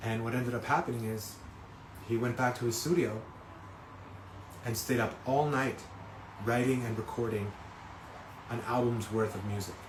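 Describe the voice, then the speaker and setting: Medium-pitched man with long, frequent pauses and audible room echo. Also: moderate pace. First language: not English. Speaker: singer-songwriter. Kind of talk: live stream talk. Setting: Instagram live stream. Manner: halting, many fillers.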